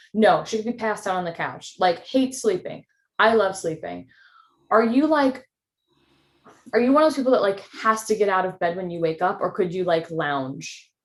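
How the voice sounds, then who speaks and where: Animated in tone, a woman talks at medium pitch and a moderate pace with lively intonation. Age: 30s. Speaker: podcast host. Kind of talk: casual chat.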